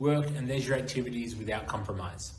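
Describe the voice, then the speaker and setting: A man with an Australian accent speaks at medium pitch, with vocal fry and lively intonation. Room echo is audible. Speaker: internship program representative. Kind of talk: presentation. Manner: formal.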